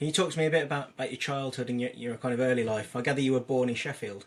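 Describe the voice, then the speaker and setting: A man's medium-pitched voice with an English accent, fairly even intonation and a very fast pace. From England. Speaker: podcast host. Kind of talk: scripted introduction; interview.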